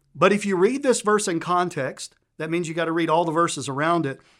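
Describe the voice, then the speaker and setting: Over a very clean recording with a silent background, a man with a Southern US accent speaks at a fairly quick pace in a high voice. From Tennessee, US South. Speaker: guest preacher. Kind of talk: sermon. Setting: church. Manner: joking, animated.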